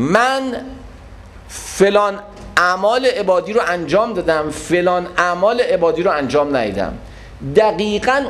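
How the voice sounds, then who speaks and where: Over noticeable background noise and audible room echo, a man speaks at a fairly slow pace with an animated tone and lively intonation. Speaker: religious lecturer. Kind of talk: religious lecture.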